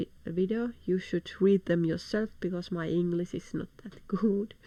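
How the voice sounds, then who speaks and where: Dark, mellow tone from a woman with a Finnish accent, her intonation fairly even. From Finland. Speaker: video blogger. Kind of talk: news commentary reading from articles. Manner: halting.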